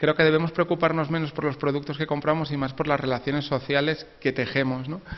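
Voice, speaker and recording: Moving at a fairly quick pace, a man talks in a fairly high pitch with monotone, flat intonation. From Spain. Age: 40s. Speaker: author. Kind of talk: interview. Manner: halting.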